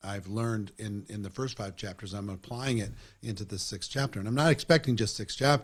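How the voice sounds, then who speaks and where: A man with a fairly low pitch speaks at a fairly quick pace in a plain, everyday voice with ordinary pitch variation. The recording is very clean, with a silent background. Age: 60s. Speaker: network marketing trainer and interviewer. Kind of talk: interview conversation.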